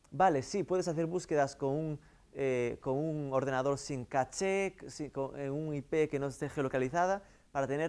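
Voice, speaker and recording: With a Galician accent, a man speaks at a moderate pace in a fairly high voice with ordinary pitch variation. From Galicia, Vigo area. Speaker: marketing consultant; guest lecturer. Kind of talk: lecture. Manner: halting. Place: classroom.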